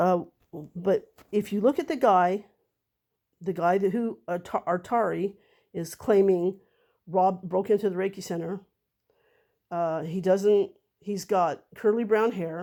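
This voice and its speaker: In a very clean recording with a silent background, a woman speaks fairly slowly at a medium pitch in a dark, mellow tone, with long, frequent pauses. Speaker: vlogger defending herself. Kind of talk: monologue to camera. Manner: halting, many fillers.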